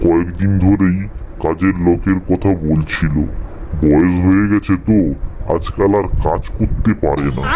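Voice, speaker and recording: A man does a cartoonish character voice in a very deep, low pitch at a moderate pace over clear background noise. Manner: theatrical villain laughter.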